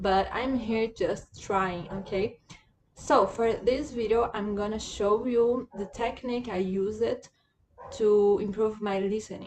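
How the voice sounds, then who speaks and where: A woman speaks very slowly in a Portuguese accent. Her pitch is fairly high, with ordinary variation. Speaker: language learner and video creator. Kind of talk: tutorial. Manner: halting, many fillers.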